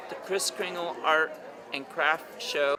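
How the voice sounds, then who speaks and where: A man with a high-pitched voice talks at a moderate pace over noticeable background noise. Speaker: TV news reporter. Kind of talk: TV news report. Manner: upbeat, positive.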